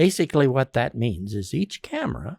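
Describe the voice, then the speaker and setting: A man speaks at a medium pitch with vocal fry and very wide pitch swings. The recording is very clean and silent behind him, dry and close with no echo. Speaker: podcast host. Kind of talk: tutorial. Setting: tv studio. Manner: slow; varied pacing with pauses.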